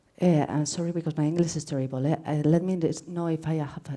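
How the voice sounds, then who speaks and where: Very fast and flat in intonation, a woman speaks in a very deep, low pitch with a dark, mellow tone. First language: Spanish. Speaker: researcher presenting at academic seminar. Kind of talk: conference Q&A. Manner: halting.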